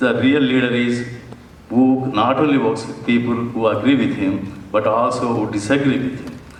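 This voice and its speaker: Fairly even in intonation, a man talks at a moderate pace. Noticeable background noise and audible room echo surround his voice. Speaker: political candidate. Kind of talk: debate opening statement. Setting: high school auditorium debate.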